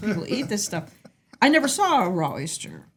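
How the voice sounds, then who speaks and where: At a fairly quick pace, a woman with an American accent and a medium pitch makes very wide pitch swings. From US Midwest, Indiana. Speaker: restaurant owner. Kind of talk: casual chat.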